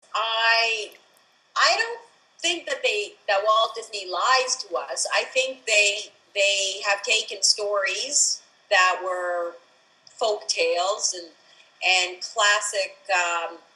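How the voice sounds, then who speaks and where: A woman's fairly high voice at a very slow pace, with ordinary pitch variation, amid noticeable background noise. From Israel. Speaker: photographer. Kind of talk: interview. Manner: halting, many fillers.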